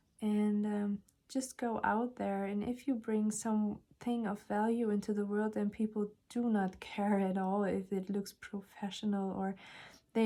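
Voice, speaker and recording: Her pitch sits at a medium level for a woman, and her tone is dark and mellow. She delivers everything in a flat, monotone way. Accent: non-native. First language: not English. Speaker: tarot reader. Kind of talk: tarot reading monologue. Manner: hesitant, many fillers.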